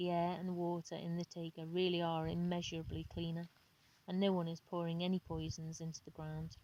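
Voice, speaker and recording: A woman speaks at a fairly quick pace. Her intonation is monotone and flat. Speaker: amateur audiobook reader. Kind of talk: book reading. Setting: outdoors, home recording. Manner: unpolished, with pauses and mispronunciations.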